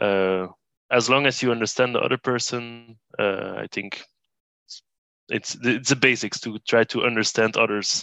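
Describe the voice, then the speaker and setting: A speaker with a Brussels accent talks at a fairly slow pace with fairly even intonation. The tone is bright and sharp, and the sound is dry and close with no echo. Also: man. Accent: Belgian (Brussels) accent in English. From Brussels, Belgium. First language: Dutch and French (bilingual). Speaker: reuse initiative coordinator. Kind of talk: casual interview. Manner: hesitant, many fillers.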